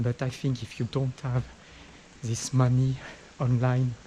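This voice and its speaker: This man's pitch sits in the medium range. He talks at a fairly slow pace. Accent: French. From France. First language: French. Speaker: travel vlogger. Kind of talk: walking vlog talk to camera. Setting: outdoors on a street. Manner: halting, repetitive.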